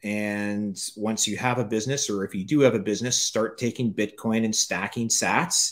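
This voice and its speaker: A man with a normal speaking voice at medium pitch talks at a moderate pace with hardly any pauses and fairly even intonation. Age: 50s. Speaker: author and entrepreneur. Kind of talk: interview.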